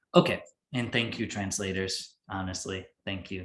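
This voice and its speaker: A man with a fairly low, somewhat breathy voice speaks at a moderate pace with fairly even intonation. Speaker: yoga teacher. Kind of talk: instructional class.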